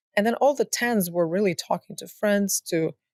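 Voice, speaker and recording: A woman speaks with a non-native accent and ordinary pitch variation. The sound is dry and close, with no echo. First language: not English. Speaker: tech startup founder. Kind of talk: interview conversation.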